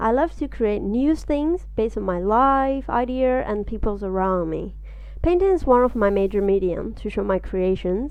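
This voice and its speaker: A woman speaks at a moderate pace with fairly high pitch. Her intonation is lively. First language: Burmese. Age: 20s. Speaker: artist. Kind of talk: podcast interview.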